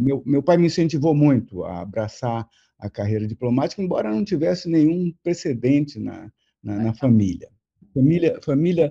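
A man's dark, mellow, somewhat breathy voice with lively intonation against a quiet background. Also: moderate pace. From Brazil, Rio de Janeiro. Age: 70s. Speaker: retired diplomat. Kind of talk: interview. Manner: halting, many repeated words.

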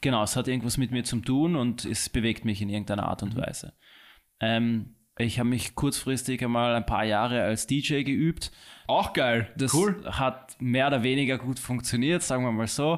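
A man's medium-pitched, plain, everyday voice with ordinary pitch variation, very even loudness and a moderate pace, on a very clean recording with a silent background. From Hong Kong, then Austria from 2000. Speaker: watch and bracelet businessman. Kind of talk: interview. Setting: studio.

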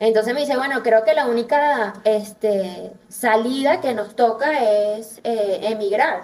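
A woman talks at a very slow pace with hardly any pauses. Her pitch is fairly high, with ordinary variation. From Venezuela. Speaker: dentist. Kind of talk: interview conversation.

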